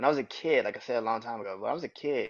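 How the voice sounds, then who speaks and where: A very fast pace from a man at medium pitch. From New Orleans, Louisiana. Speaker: podcast host. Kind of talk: personal monologue podcast. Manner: casual, repetitive with self-corrections.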